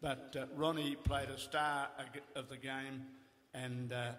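Speaking at a fairly slow pace, a man with an Australian accent keeps a monotone, flat intonation. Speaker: retired footballer. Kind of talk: anecdotal storytelling. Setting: stage with audience. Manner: wry. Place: hall.

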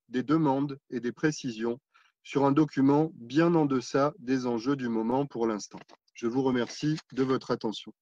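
A man with a fairly high voice speaks at a fairly slow pace, with ordinary pitch variation. The sound is dry with no echo, over a quiet background. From France. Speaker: local politician. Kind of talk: council speech. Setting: council meeting. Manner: formal. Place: home room. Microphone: video call.

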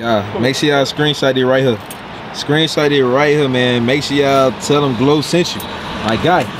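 With noticeable background noise but a dry sound with no echo, a man speaks at a moderate pace with ordinary pitch variation. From US South, Arkansas. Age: 20s. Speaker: YouTuber; vlogger. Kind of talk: casual vlog. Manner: animated.

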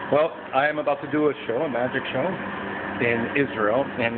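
A man talks at a moderate pace while noticeable background noise is heard. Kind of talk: casual vlog tour. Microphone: phone near.

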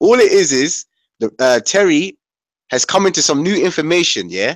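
In a dry recording with no echo and a quiet background, a man with a high pitch talks at a moderate pace with very wide pitch swings. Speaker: panelist. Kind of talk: heated debate. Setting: video call. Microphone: video call.

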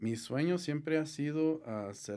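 The voice belongs to a man, dark and mellow in tone. The background is quiet. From southern Colorado, US, Mexican immigrant family. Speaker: gutter installation business owner; guest. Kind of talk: interview. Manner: halting, many fillers. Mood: calm, friendly. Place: studio. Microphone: studio mic.

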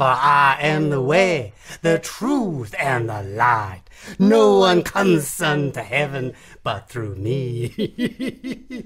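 This put-on character voice, pitched low-to-middle, moves at a very slow pace. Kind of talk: radio comedy drama. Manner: grand, preaching.

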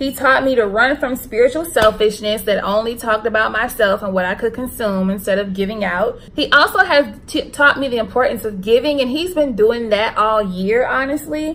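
Fairly high in pitch, a woman speaks with an American accent and lively intonation. Her pace is moderate. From US South, Charlotte, North Carolina. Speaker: YouTuber. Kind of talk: casual vlog monologue, spiritual talk. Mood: emotional, earnest, faith-focused. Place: home room. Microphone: phone near.

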